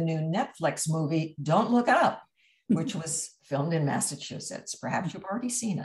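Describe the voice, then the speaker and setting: A somewhat breathy voice at a moderate pace against a quiet background. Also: woman. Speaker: event host. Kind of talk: speaker introduction. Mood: warm, lightly amused. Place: home room. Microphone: video call.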